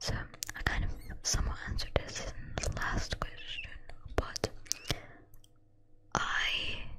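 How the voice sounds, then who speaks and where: A whispered voice. There is noticeable noise in the background. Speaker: ASMR creator. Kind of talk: ASMR Q&A talk to camera.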